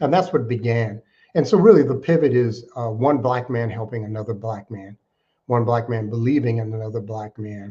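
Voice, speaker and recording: Over a quiet background, a man with a dark, mellow, somewhat breathy voice speaks at a moderate pace and medium pitch, with ordinary pitch variation and big swings in loudness. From Alaska. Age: 60s. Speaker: nonprofit fundraising consultant. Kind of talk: interview.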